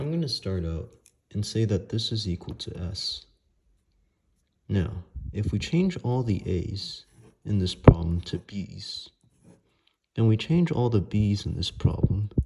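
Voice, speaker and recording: Soft-spoken and somewhat breathy, a man talks at a fairly slow pace in a fairly low, dark and mellow voice with lively intonation, pausing long and often. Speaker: math tutor. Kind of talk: math tutorial explanation.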